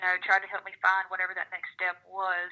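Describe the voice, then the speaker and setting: The speaker is a woman. Her words come in a Southern US accent. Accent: Southern drawl. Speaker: country singer-songwriter. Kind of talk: interview answer.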